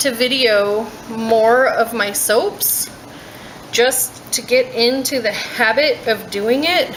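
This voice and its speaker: A soft-spoken woman talks at a very slow pace in a high pitch with ordinary pitch variation. Noticeable background noise is present. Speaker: soap maker. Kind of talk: tutorial.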